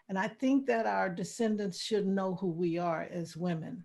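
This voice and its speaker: A woman with a normal speaking voice, fairly low in pitch, at a fairly slow pace with ordinary pitch variation. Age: 60s. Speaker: artist and author. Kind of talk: interview.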